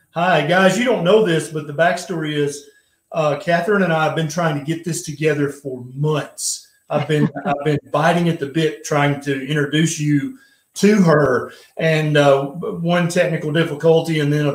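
There is audible room echo, though the background is quiet. A man talks at a moderate pace with fairly even intonation. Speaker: live stream host. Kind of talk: casual live-stream talk and interview intro. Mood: friendly, light humor. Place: home room. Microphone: webcam.

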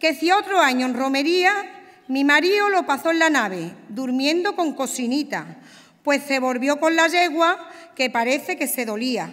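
In an Andalusian accent, the speaker talks at a fairly slow pace with lively intonation against a quiet background. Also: woman, high pitch for a woman. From Andalusia, Spain. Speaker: pregonera giving the romería address. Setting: stage with audience. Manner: measured, heartfelt and lyrical, rising to a ceremonial cadence. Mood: nostalgic, emotive. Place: stage. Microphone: podium.

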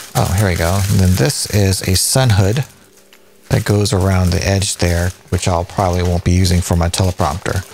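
Faint music in the background behind a man's fairly low voice, a moderate pace and a dry sound with no echo. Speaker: tech reviewer. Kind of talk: casual tutorial unboxing. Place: home room.

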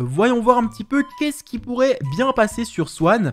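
Faint background music under a man talking at a moderate pace. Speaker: gaming video creator. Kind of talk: casual gameplay commentary.

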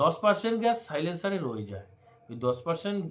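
Pitched high, a man's voice moves through very wide pitch swings. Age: 30s. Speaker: bike vlogger. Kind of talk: tutorial. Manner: casual, repetitive.

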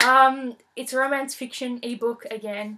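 A woman speaks at a moderate pace in a high pitch, her tone bright and sharp and her intonation fairly even.

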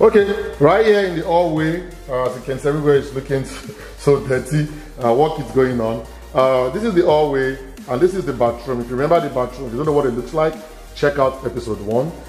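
A man at a very fast pace, with audible room echo and faint music in the background. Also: ordinary pitch variation. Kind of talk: casual property tour narration. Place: empty room. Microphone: phone near.

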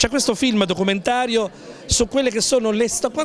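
A man speaks in a high voice. The sound is dry with no echo, with light background noise. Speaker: TV reporter. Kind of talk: on-location interview. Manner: formal.

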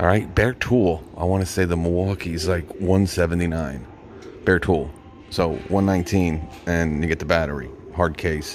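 Music plays in the background as a man with a very deep, low pitch speaks at a very slow pace, with fairly even intonation and very even loudness. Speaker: tool reviewer. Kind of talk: casual vlog commentary. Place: shop. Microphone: phone near.

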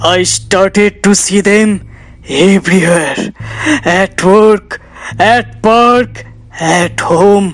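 Very slow, high-pitched delivery in a man's put-on character voice. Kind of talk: acted dialogue. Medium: short film. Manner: agitated, pleading, repetitive.

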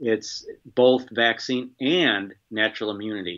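A man with an American accent against a quiet background. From US. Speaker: infectious disease biosafety expert; guest. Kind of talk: interview. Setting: remote call. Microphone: video call.

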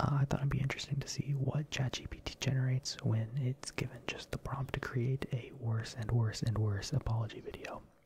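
Soft-spoken delivery at a fairly quick pace with hardly any pauses, over light background noise. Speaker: ASMR content creator. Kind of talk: soft ASMR monologue, parody apology. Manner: soft-spoken ASMR voice, close to mic. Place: home room. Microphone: studio mic.

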